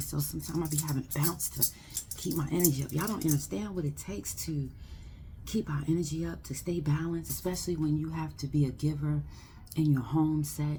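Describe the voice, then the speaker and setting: Very deep and low for a woman, her voice has a dark, mellow tone and vocal fry. She talks at a fairly quick pace with fairly even intonation. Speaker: spiritual card reader. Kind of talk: live oracle card reading. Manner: whispering at times; casual, affirming.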